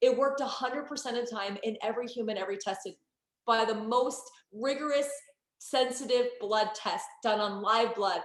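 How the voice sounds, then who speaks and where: A woman with an American accent speaks in an animated tone at high pitch with ordinary pitch variation. Audible room echo surrounds her voice. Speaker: network marketing entrepreneur. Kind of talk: sales pitch. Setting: online group call. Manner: fast.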